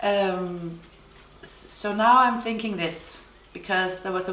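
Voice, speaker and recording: A woman in a Danish accent, with audible room echo and noticeable background noise. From Denmark. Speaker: knitting podcaster. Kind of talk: casual chat. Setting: summer house on island. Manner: halting.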